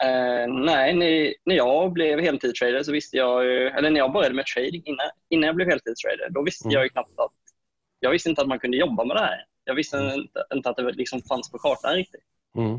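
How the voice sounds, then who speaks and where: At a fairly quick pace, a man speaks in an ordinary speaking voice with fairly high pitch and ordinary pitch variation, in a dry sound with no echo and a quiet background. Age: 20s. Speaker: full-time day trader; guest. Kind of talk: panel discussion. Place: home room. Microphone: earbuds.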